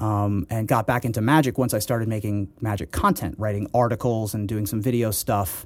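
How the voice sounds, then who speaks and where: A man's fairly low-pitched, fairly quick delivery with hardly any pauses and ordinary pitch variation, a normal speaking voice on a very clean recording with a silent background. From Ohio, US Midwest. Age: 30s. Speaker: poker player and comedian. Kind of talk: interview.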